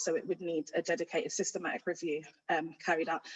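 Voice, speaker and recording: This speaker has a London accent. The pace is very fast. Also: woman. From London (Ladbroke Grove, west London). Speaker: youth violence project manager, guest speaker. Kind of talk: presentation. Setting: hybrid online event. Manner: projecting loudly. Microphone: too quiet at first.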